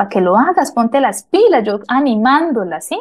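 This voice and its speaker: A woman's high-pitched voice at a moderate pace, against a quiet background. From Colombia, Mariquita, Tolima. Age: 30s. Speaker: interviewee, house cleaner. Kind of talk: interview storytelling.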